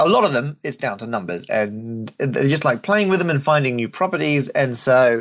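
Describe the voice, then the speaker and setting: Talking at a fairly quick pace, a man with an Australian accent has a fairly high pitch and very wide pitch swings. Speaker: mathematician.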